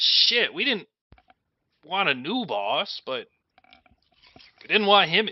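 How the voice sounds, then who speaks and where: A man shouts in a put-on character voice, high-pitched and raised to project, moving at a fairly slow pace with long, frequent pauses. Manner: shouting.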